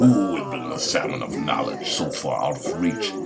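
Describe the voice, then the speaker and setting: Booming in a put-on character voice, a man speaks at a moderate pace with clear background noise. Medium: read story. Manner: roaring.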